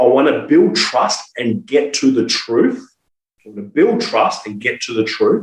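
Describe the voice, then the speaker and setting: A man talks in an Australian accent. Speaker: sales trainer. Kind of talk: podcast interview. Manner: animated.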